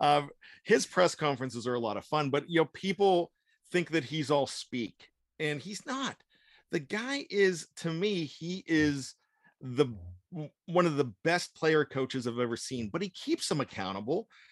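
An ordinary speaking voice: a man at a fairly high pitch, lively intonation, a moderate pace, and a dry, close sound with no echo. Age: 50s. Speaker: sports writer and podcast producer. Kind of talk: casual chat.

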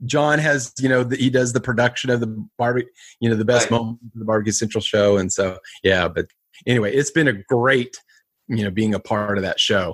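In a dry, close sound with no echo, a man speaks at a fairly quick pace with a medium pitch and ordinary pitch variation. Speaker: barbecue show host. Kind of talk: casual interview chat.

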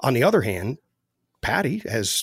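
Speaking at a moderate pace, a man with an American accent is heard on a very clean recording with a silent background, dry and close with no echo. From US Midwest, central Ohio. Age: 40s. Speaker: entrepreneur and military veteran. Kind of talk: casual interview conversation. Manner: frequent hesitations and fillers.

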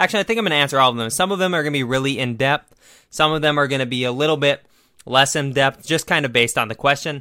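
In an American accent, a man with a fairly high pitch and a bright, sharp tone speaks very fast with ordinary pitch variation on a very clean recording with a silent background. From Minnesota. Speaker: sports podcast host. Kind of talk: casual solo podcast commentary. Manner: casual, frequent filler words.

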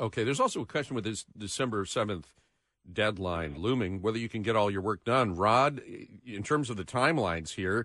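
A man with an ordinary speaking voice, medium in pitch, at a moderate pace against a quiet background. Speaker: radio host. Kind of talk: radio interview with call-ins. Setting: studio.

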